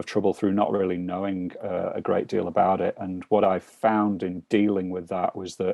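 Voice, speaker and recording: With a British accent, a man talks at a moderate pace in a very deep, low voice with monotone, flat intonation. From UK. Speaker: financial mentor. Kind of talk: casual interview over video call. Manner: hesitant, many fillers.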